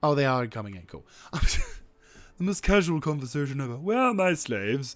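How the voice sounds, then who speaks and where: Very wide pitch swings mark a man speaking at a fairly quick pace on a very clean recording with a silent background. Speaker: gaming video creator. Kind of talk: gameplay commentary. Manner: subdued, toned down; normally loud, bombastic.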